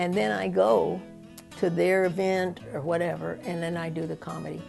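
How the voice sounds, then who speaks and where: Music plays behind the speaker, a woman. She talks at a moderate pace. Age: 60s. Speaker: stand-up comedian, sociologist. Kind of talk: interview answer.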